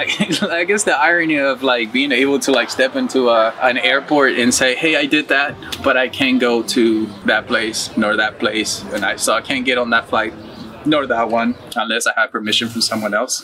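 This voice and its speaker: A man with a Spanish accent at a moderate pace, with ordinary pitch variation, very even loudness and light background noise. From Uruguay; moved to US at 14. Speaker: muralist. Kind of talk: interview testimony. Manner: casual. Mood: reflective, earnest. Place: garden.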